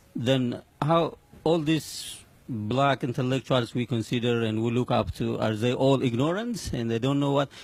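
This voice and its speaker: At a medium pitch, a man talks with a strong non-native accent. His pace is fairly slow and his pitch varies in an ordinary way. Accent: heavy foreign. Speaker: audience member asking a question. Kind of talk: audience Q&A question. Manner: halting, with fillers.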